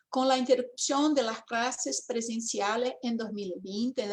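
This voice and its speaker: The woman's voice is fairly high in pitch. She speaks fairly slowly with a Portuguese accent. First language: Portuguese (speaking Spanish). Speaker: education professor. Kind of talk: academic talk.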